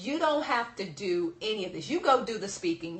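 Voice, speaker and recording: Against noticeable background noise, a woman speaks at a fairly quick pace with lively intonation. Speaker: business speaking coach. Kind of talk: seminar presentation. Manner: fast; animated.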